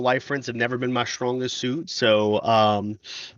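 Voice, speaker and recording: A medium-pitched male voice comes through with noticeable background noise around it. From Louisiana. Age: 30s. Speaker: podcast guest, gamer. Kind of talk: casual chat.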